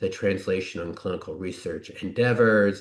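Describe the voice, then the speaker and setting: Ordinary pitch variation and a moderate pace come through over a quiet background. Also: man. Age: 60s. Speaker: physician and researcher. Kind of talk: conference presentation. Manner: hesitant with fillers.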